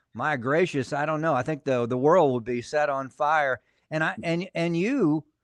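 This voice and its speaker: Against a quiet background, a man with an ordinary speaking voice and fairly high pitch talks at a moderate pace in a dry, close sound with no echo. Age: 60s. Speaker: pastor and podcast host. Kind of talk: casual interview chat.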